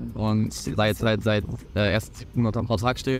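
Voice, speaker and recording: A man's voice comes through dry, with no echo, over light background noise. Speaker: football goalkeeper. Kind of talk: casual chat. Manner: halting. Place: open country.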